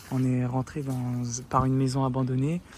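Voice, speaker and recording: A man is soft-spoken. His voice is somewhat breathy. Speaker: urban explorer vlogger. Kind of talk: live vlog narration. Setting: outdoors at night, abandoned site. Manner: hesitant.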